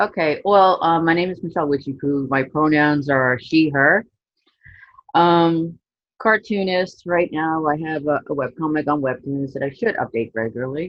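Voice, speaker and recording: In an American accent, a woman with a very deep, low pitch speaks with ordinary pitch variation. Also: moderate pace. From Queens, New York. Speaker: cartoonist, panelist. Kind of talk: panel discussion.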